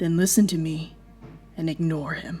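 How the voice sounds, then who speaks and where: Music plays in the background as a woman uses a put-on character voice. She keeps a moderate pace and fairly even intonation. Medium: audio drama. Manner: curt, commanding.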